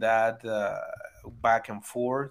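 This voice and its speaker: A man with a Spanish accent speaks at a fairly slow pace in a bright, sharp tone. The recording is very clean, with a silent background. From Venezuela. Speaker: baseball analytics writer. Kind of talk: casual interview chat. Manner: halting, many repeated words.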